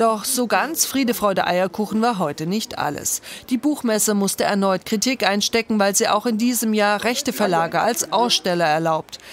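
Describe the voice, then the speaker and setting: Moderate pace, hardly any pauses, ordinary pitch variation and very even loudness over noticeable background noise. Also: woman, medium pitch for a woman. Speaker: news reporter. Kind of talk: news report voiceover.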